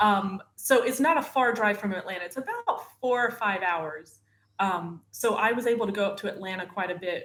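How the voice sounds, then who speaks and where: A woman with a northern Florida accent speaks at a fairly quick pace. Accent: Southern US (northern Florida). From northern Florida, US South. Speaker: wife of an actor, mother. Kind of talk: casual interview chat.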